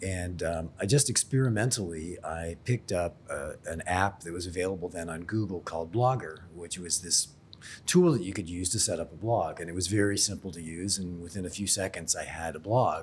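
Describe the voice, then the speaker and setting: Somewhat breathy, this voice with an American accent moves at a fairly quick pace with ordinary pitch variation. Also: man, very deep, low pitch for a man. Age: 60s. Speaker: insurance expert and blogger. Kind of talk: podcast interview. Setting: in person in Sydney.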